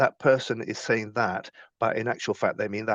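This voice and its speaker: Everything behind the speaker is quiet. His voice sits at a medium pitch for a man. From Chile. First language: Spanish. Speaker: business leader and former F1 engineering manager. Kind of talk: podcast interview. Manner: hesitant, with many repetitions and fillers.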